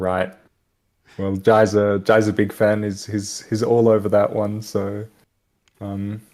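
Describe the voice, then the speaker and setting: Speaking at a very slow pace with long, frequent pauses, a man with an Australian accent uses a fairly low pitch and monotone, flat intonation. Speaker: esports commentator. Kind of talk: live commentary. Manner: casual.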